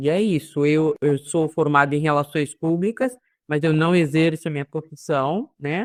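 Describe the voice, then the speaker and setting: This woman's voice sits very deep and low, with ordinary pitch variation. She talks at a fairly slow pace, and the sound is dry and close with no echo. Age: 60s. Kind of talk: online live panel discussion.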